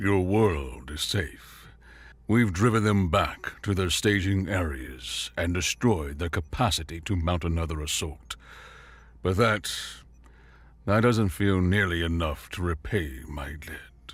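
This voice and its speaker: A gruff put-on character voice from a man, very deep and low in pitch, at a fairly slow pace. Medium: read story. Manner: gentle, measured and sincere.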